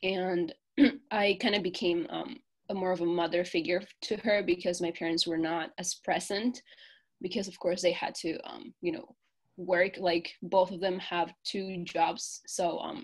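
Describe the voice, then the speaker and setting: A woman speaks fairly slowly with a Spanish accent at a medium pitch. Her ordinary pitch variation comes through on a very clean recording with a silent background. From Peru. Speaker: college student. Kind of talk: interview. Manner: hesitant, many fillers.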